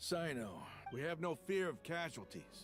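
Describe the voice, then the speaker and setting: A man's raspy, put-on character voice, fairly high in pitch and confident in tone, at a moderate pace over clear music in the background. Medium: video game. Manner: blunt, confident.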